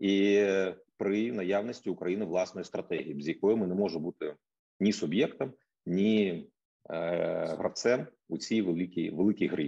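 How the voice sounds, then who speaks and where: A man with a slight Russian accent, fairly low pitch, dark and mellow tone, ordinary pitch variation and moderate pace. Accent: slight Russian accent in Ukrainian. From Ukraine, Kyiv. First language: Russian (speaking Ukrainian). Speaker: think tank economist. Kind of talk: introductory speech.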